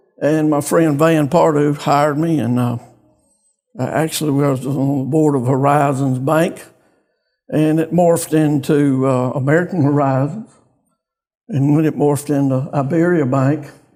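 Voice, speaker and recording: A man with a Louisiana accent talks at a moderate pace. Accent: Southern US (Louisiana). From US South, northeast Louisiana. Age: 70s. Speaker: bank executive, community business leader. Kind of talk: interview.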